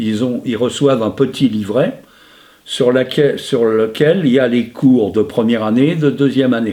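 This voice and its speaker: Dark and mellow in tone, a man speaks at a fairly slow pace with ordinary pitch variation. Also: medium pitch for a man. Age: 70s. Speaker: retired teacher and stamp collector. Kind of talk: interview. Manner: hesitant, frequent fillers.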